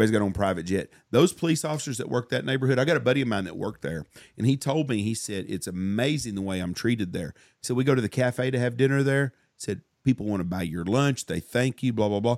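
With a Southern US accent, a man talks at a very fast pace in a medium pitch, his tone animated and his intonation lively, the sound dry and close with no echo. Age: 50s. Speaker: podcast host and hunting outfitter. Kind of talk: casual chat.

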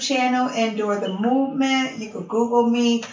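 With an American accent and fairly high pitch, a woman speaks in a fairly even intonation against noticeable background noise. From Buffalo, New York. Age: 40s. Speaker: radio show host and perfume entrepreneur. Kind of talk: casual interview.

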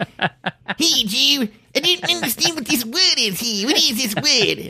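A put-on character voice with an Australian accent, pitched high. It moves at a fairly slow pace.

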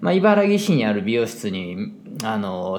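A man's medium-pitched voice in a Kansai accent, with lively intonation at a moderate pace. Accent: Kansai dialect Japanese. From Japan, Osaka (Kansai). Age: 40s. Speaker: hairdresser and salon owner. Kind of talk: casual solo monologue.

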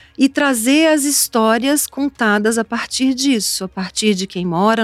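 A woman speaks at a fairly high pitch and a moderate pace, with ordinary pitch variation. The sound is dry and close, with no echo. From Brazil, Espírito Santo (Cachoeiro de Itapemirim). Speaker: TV reporter and author. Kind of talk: interview. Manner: animated.

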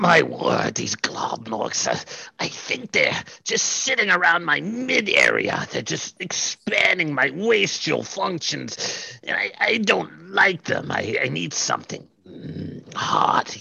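Using a put-on character voice, a man talks. He delivers his lines at a very slow pace. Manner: prim, disdainful.

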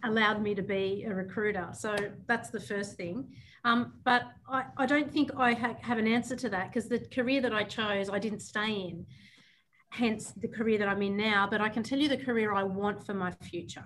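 A woman talks at a moderate pace in a plain, everyday voice, her pitch moving in an ordinary way. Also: fairly high pitch for a woman. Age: 30s. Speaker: recruitment company CEO. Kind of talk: casual chat.

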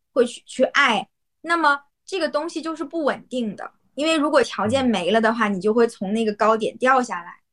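A woman speaks at a high pitch, her loudness swinging widely. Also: lively intonation, moderate pace. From Yanbian, Jilin, Northeast China. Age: young. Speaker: Chinese teacher. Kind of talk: casual chat.

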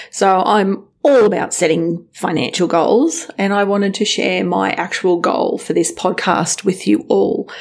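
A woman with an Australian accent speaks at a fairly slow pace amid noticeable background noise. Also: hardly any pauses. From western Sydney, Australia. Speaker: podcast host, financial planning business owner. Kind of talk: casual monologue.

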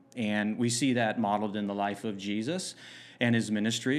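With a normal speaking voice, a man talks at a fairly low pitch with fairly even intonation. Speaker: pastor. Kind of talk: casual podcast interview.

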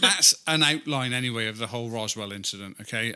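A man speaks at a moderate pace and medium pitch. Noticeable noise sits in the background. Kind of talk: mock ring announcer bit, playful boxing-style shout.

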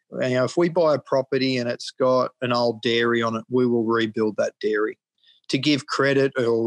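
The sound is dry and close, with no echo. A man with an Australian accent speaks at medium pitch and a moderate pace. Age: 50s. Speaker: cattle farmer. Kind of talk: interview.

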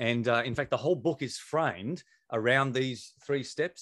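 Here a man speaks at a medium pitch with ordinary pitch variation. The sound is dry and close, with no echo. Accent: Australian. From South Australia. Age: 40s. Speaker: pastor and author. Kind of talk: interview. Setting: video call. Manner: fast talker.

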